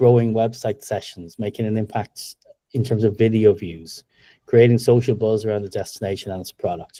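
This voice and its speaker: A man with an Irish accent speaks at a moderate pace, in a medium pitch with a dark, mellow tone. His intonation is fairly even, his loudness swings widely, and the sound is dry and close with no echo. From Ireland. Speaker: tech company co-founder and presenter. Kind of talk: webinar presentation.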